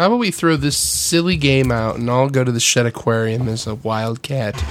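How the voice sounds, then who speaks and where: A man speaks at a moderate pace with ordinary pitch variation. Noticeable background noise runs behind him. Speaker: band member and podcast co-host. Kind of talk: radio dj patter, mock-announcer banter.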